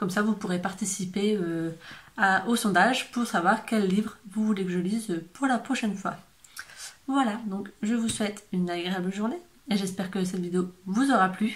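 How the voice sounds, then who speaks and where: The woman's voice is somewhat breathy. She keeps a moderate pace and fairly even intonation. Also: medium pitch for a woman. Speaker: book youtuber. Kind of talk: casual vlog talk. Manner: hesitant, many fillers.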